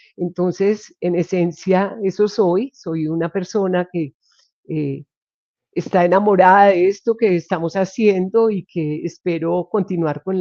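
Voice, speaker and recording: A woman has an ordinary speaking voice with a fairly low pitch and ordinary pitch variation. Her pace is fairly slow. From Colombia, Medellín area. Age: 60s. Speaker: occupational health physician. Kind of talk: interview conversation.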